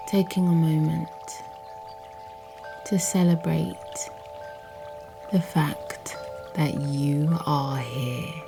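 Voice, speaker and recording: With music in the background, a woman with a very deep, low pitch and very wide pitch swings talks at a very slow pace, leaving long, frequent pauses. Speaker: meditation guide. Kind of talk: guided yoga nidra body scan. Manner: slow, calm.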